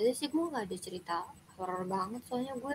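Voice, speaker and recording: In a plain, everyday voice, a woman talks fairly quickly at a fairly high pitch with ordinary pitch variation. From Indonesia, Bogor (West Java). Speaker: university student, stranger in video chat. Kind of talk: casual chat.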